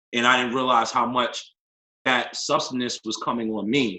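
A man with an American accent, medium pitch, fairly even intonation, moderate pace and an unremarkable speaking voice. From northern New Jersey. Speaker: life coach and yoga teacher. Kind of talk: personal testimony in interview.

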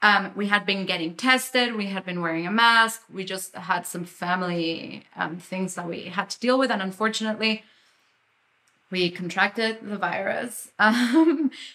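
A woman speaks in a plain, everyday voice at a moderate pace and medium pitch, with ordinary pitch variation and big swings in loudness. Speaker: film producer. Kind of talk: interview conversation.

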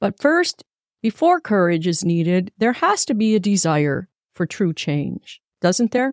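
Speaking at a fairly slow pace in an unremarkable speaking voice, a woman of medium pitch uses lively intonation and very even loudness, recorded very cleanly with a silent background and a dry, close sound with no echo. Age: 60s. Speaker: motivational talk show host. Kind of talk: motivational monologue.

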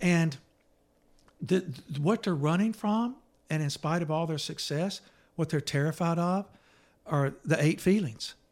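Speaking fairly slowly with long, frequent pauses, a man uses a high pitch with ordinary pitch variation. The recording is very clean, with a silent background. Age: 60s. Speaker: therapist and author. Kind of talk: casual chat.

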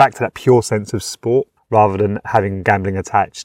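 A man with a British accent talks at a fairly quick pace in a fairly low pitch. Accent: British, noticeable. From UK. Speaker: gambling help community engagement officer. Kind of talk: interview.

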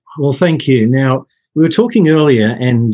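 Here a man speaks with an Australian accent at a medium pitch. His tone is dark and mellow. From Australia (Brisbane). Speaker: podcast co-host. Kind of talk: podcast interview. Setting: remote call.

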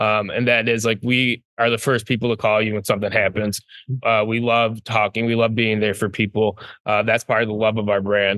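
A man speaks in a monotone, flat intonation at a very even loudness against a quiet background. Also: medium pitch for a man, fairly quick pace. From Michigan. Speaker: distillery co-founder. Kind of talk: casual interview.

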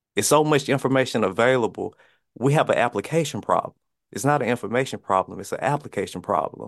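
Against a quiet background, a man in a Mississippi accent talks very fast at a medium pitch with ordinary pitch variation. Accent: US Southern, Mississippi. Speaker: fitness coach. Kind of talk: podcast interview.

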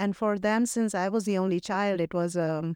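A woman with a North Indian accent speaks at a moderate pace with ordinary pitch variation. The sound is dry and close with no echo, in a very clean recording with a silent background. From Delhi, India. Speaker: tech leader. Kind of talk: interview conversation. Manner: halting, many fillers.

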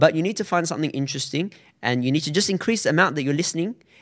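On a very clean recording with a silent background, a man speaks with an Australian accent and ordinary pitch variation. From Australia, Sydney. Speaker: Arabic teacher, science graduate. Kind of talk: interview conversation.

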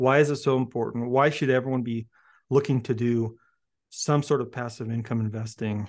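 This man talks at a fairly quick pace with a medium pitch. He has an unremarkable speaking voice against a quiet background. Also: fairly even intonation. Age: 40s. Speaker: podcast host. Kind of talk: casual interview.

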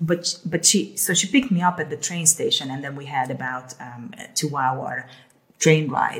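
A woman speaks at a very deep, low pitch and a moderate pace, somewhat breathy. Her loudness swings widely, while her pitch varies in an ordinary way. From Hungary. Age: 50s. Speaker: health coach, former airline executive. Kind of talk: casual chat.

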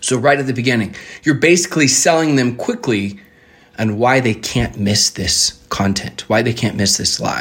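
A man speaks in a soft-spoken way at a moderate pace. His pitch variation is ordinary. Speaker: podcast host. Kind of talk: tutorial. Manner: soft-spoken naturally, pushes for high energy; instructive, conversational.

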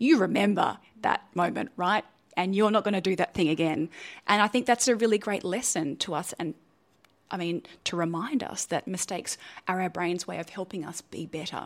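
A woman speaks at a fairly quick pace with an Australian accent, her pitch medium with ordinary variation. The recording is very clean with a silent background. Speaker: neuroscientist and science communicator. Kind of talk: interview.

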